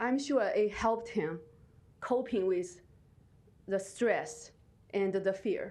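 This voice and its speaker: In a room with audible echo, a woman speaks very slowly in a fairly high, dark, mellow, shaky voice, her loudness very even and her pitch varying in an ordinary way, with long, frequent pauses. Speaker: resident giving public comment. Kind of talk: public testimony. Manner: halting.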